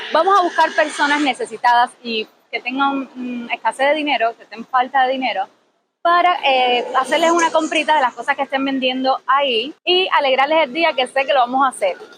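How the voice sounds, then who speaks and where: Big swings in loudness from a woman with a high pitch, ordinary pitch variation and a fairly quick pace. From Cuba. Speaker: vlogger, engineer. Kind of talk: vlog street video. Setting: outdoors at a market.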